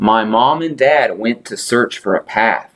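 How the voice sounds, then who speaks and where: At a fairly slow pace, a man adopts a put-on character voice pitched in the medium range. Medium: read story.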